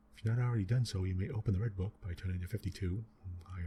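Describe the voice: Simple, plain reading aloud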